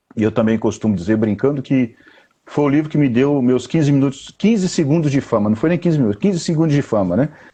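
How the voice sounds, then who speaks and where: At a very fast pace, a man with a medium pitch keeps very even loudness and lively intonation. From Bahia, Brazil (interior, Bom Jesus da Lapa). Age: 40s. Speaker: poet and writer. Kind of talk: interview on a live stream. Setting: online live video call.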